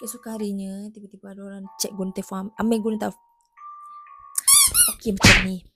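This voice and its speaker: Over music in the background, a woman with a medium pitch talks at a very fast pace, with long, frequent pauses. Her intonation is monotone and flat, and her loudness swings widely. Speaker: YouTuber. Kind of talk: reaction video narration. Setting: home, early morning.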